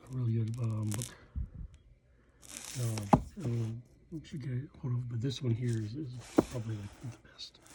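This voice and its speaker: A soft-spoken man with an American accent, medium pitch and a fairly slow pace. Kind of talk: casual talk to camera. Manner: hesitant, rambling.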